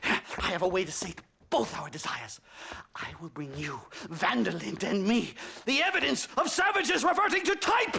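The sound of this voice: A man puts on a character voice, high-pitched with big pitch swings and a bright, sharp tone. Vocal fry and a slightly husky edge run through it. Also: moderate pace, few pauses.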